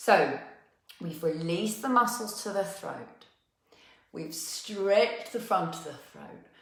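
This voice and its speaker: A woman speaks very slowly in a gentle, calm tone, leaving long, frequent pauses. Her loudness swings widely, and audible room echo fills the recording. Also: medium pitch for a woman, ordinary pitch variation. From South East London. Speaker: movement and wellness teacher. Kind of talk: guided movement class. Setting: live online session.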